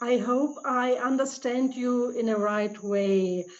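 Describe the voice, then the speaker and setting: The speaker has a German accent. The pace is very slow. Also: woman. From Germany. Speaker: leadership trainer. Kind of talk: Q&A answer. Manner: halting, searching for words.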